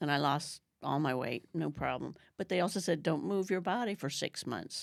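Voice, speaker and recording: A woman's very deep, low voice with vocal fry and lively intonation, on a very clean recording with a silent background. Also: moderate pace. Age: 60s. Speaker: retreat guest sharing weight-loss journey. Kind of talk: podcast interview, personal story.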